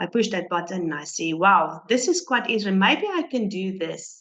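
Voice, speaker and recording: She speaks with a non-native accent at a medium pitch. The woman's pace is moderate and her intonation lively. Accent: foreign. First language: not English. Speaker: business member. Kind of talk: interview testimony. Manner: halting.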